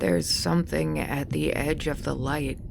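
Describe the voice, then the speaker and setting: Put-on character voice from a man, very deep and low in pitch, amid loud background noise. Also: moderate pace. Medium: read story. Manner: steady, dry.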